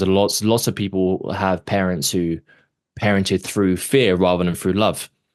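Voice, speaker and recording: A man with a London accent and a very deep, low voice, against a quiet background. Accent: British (London). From London, England. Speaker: actor and author, abuse survivor. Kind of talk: podcast interview, personal testimony. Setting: podcast interview.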